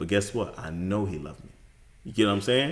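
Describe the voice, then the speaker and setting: Speaking at a very fast pace, a man with an American accent has a fairly low voice. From Bronx, New York. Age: 30s. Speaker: podcast guest, father. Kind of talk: casual interview chat.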